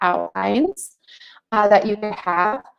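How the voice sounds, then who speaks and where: A woman with an ordinary speaking voice talks at a fairly high pitch and a fairly slow pace. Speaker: teacher trainer. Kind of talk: webinar presentation. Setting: online webinar.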